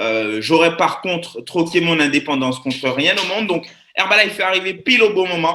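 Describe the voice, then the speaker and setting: In an animated tone, a man with a high pitch speaks at a moderate pace with lively intonation. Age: 20s. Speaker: network marketing presenter. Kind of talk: live webinar presentation.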